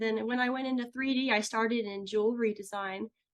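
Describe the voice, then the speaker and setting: Her voice high and her pitch variation ordinary, a woman speaks at a very fast pace. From US Midwest, St. Louis area, Missouri. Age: 30s. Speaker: ceramic artist and podcast host. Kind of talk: interview, casual chat.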